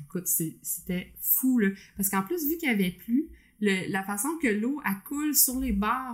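In a Quebec accent, a woman talks fairly slowly at a fairly high pitch, her voice somewhat breathy and her pitch swinging very widely. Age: 30s. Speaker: podcast co-host, accountant. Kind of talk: casual chat.

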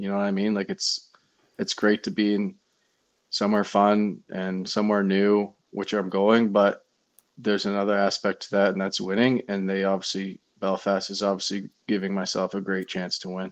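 Against a quiet background, a man with a Canadian accent speaks at a fairly low pitch and a moderate pace, his intonation monotone and flat. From Ontario, Canada. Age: 20s. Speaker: professional ice hockey player. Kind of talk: casual interview.

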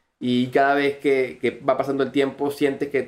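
A man with a Venezuelan accent speaks at medium pitch. His pace is moderate. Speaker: crypto community manager. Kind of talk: podcast interview.

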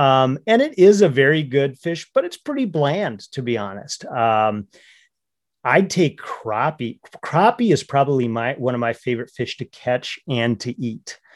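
Speaking fairly slowly, a man with an American accent has a fairly high pitch and lively intonation. The sound is dry and close with no echo, over a quiet background. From north central Minnesota. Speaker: hunting and fishing advocate. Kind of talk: podcast interview. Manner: halting, many repeated words and fillers.

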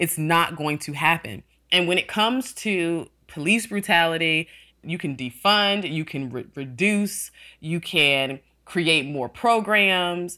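A woman with an American accent, fairly low in pitch, bright and sharp in tone, with lively intonation at a very slow pace on a very clean recording with a silent background. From US South, Atlanta, Georgia. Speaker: political consultant. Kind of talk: interview conversation.

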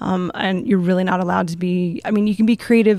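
A woman with a medium pitch and a plain, everyday voice is heard on a very clean recording with a silent background. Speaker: air force veteran. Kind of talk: panel discussion.

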